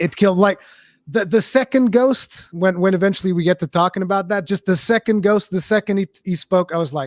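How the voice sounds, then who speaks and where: Recorded very cleanly against a silent background with a dry, close sound and no echo, a man talks at a fairly quick pace in a high pitch with ordinary pitch variation. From Portugal. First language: Portuguese. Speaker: streamer, parent. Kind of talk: casual chat.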